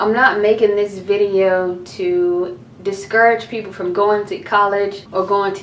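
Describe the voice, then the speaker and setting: Noticeable background noise sits behind this recording. A woman speaks at a moderate pace with a fairly high pitch. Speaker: college student youtuber. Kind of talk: casual rant to camera.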